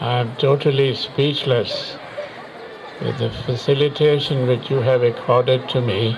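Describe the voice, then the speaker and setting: Amid crowd noise and audible room echo, the speech moves at a fairly slow pace with monotone, flat intonation. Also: man. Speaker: war veteran. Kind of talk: public speech. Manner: halting.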